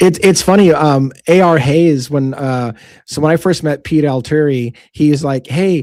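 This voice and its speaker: A man talks with a fairly high voice, keeping to a moderate pace. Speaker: true crime show host. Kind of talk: casual chat. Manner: intense.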